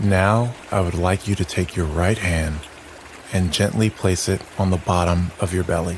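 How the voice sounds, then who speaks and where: A man's very deep, low voice in a calm, soothing tone, very even in loudness, against noticeable background noise. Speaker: meditation guide. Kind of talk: guided meditation. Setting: audio recording for sleep listening. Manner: slow, calm, soothing; gentle, hushed, with long pauses.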